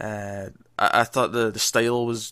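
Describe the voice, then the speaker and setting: Speaking very slowly, a man uses a medium-pitched, bright and sharp voice with flat, monotone intonation. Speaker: film podcast host. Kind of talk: casual chat.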